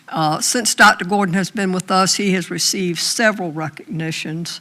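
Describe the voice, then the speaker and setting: Fairly even intonation from a woman with a Southern US accent. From US South. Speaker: school board member. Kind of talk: public meeting remarks. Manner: slow.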